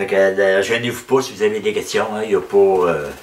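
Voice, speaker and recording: A man with a Quebec accent at a fairly quick pace, over noticeable background noise. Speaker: woodturner. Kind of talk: tutorial. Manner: halting.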